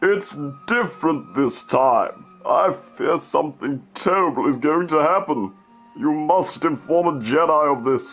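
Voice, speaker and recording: Over faint background music, a man speaks at a fairly slow pace with fairly high pitch and lively intonation. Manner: solemn, ominous, then irritable.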